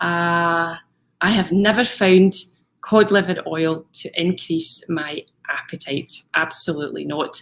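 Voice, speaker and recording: Speaking at a fairly slow pace, a woman uses an ordinary speaking voice with fairly even intonation. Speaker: fitness coach. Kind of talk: live stream talk.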